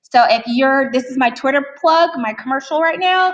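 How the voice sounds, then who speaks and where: Speaking at a moderate pace, a woman has a high pitch and an American accent. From Texas. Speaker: teacher presenter. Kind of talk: conference presentation. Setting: conference room with audience.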